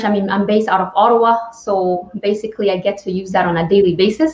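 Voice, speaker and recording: Speaking in a Spanish accent at a moderate pace, a woman keeps a medium pitch with ordinary pitch variation. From Spain. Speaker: talk show host. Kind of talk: interview.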